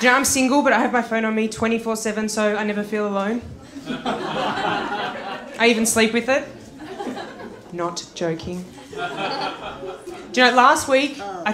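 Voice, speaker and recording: With noticeable noise behind her, a woman talks at a fairly slow pace in a fairly high pitch, her intonation lively. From Australia. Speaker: stand-up comedian. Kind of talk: stand-up comedy set.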